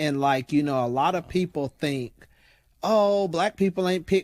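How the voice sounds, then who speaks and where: In a very clean recording with a silent background and a dry, close sound with no echo, a speaker with an American accent talks at a moderate pace with ordinary pitch variation. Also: man. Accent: Southern accent, noticed by outsiders. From US South, West Tennessee. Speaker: diversity and inclusion consultant. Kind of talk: interview. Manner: casual, conversational.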